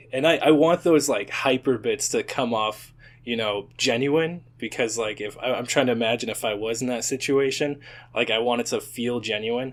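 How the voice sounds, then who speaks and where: Recorded very cleanly against a silent background, a man speaks at medium pitch and moderate pace. He has an unremarkable speaking voice with ordinary pitch variation. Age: 20s. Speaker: YouTube animator and content creator. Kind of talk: casual chat.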